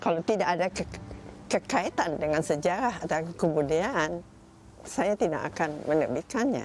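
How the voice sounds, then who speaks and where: This woman's voice sits fairly low in pitch. Her intonation is lively. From Indonesia (Bandung). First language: Dutch (speaking Indonesian). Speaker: novelist and publisher. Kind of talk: interview. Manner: halting.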